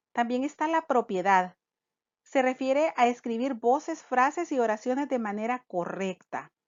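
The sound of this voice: A woman at a fairly slow pace, fairly high in pitch, with lively intonation, a slightly mellow tone and a dry, close sound with no echo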